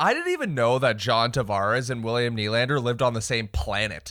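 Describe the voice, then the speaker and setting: In a very clean recording with a silent background, a bright, sharp voice speaks at a moderate pace with ordinary pitch variation. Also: man. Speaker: podcast co-host. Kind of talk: casual chat.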